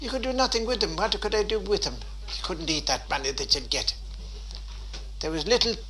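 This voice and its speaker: Noticeable background noise surrounds a man talking with a Waterford accent. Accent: Irish, Waterford. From Dunmore East, County Waterford, Ireland. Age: 80s+. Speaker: former fisherman and traveller. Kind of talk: interview answer.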